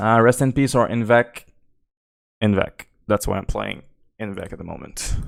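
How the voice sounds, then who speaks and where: In a Quebec accent, a man talks at a moderate pace with a medium pitch. His intonation is fairly even, with long, frequent pauses. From Quebec, Canada. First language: French. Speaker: game streamer. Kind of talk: live gameplay commentary. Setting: live stream. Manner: casual, hesitant with fillers.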